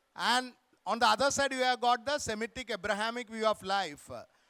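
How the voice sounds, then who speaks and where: A man speaks in a raised, projected voice. The recording is very clean, with a silent background. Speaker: author. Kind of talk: literary festival conversation. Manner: loud.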